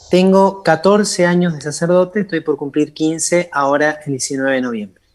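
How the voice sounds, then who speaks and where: With an unremarkable speaking voice, a man talks at a moderate pace in a fairly high pitch with ordinary pitch variation, on a very clean recording with a silent background. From Argentina, Entre Ríos. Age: 40s. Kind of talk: interview.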